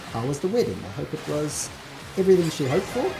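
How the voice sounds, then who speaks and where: Music plays in the background as a man speaks at a very fast pace. He has a South African accent and lively intonation. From South Africa, Johannesburg. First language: Portuguese. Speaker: gaming streamer. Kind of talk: casual chat.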